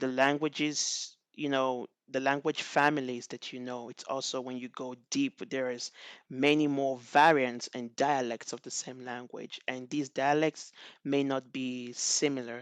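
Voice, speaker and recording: In a Nigerian accent, a man speaks at medium pitch and a moderate pace, with big swings in loudness. The sound is dry and close with no echo over a quiet background. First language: Igbo. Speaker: NLP researcher. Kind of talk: conference talk. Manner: halting, with many fillers.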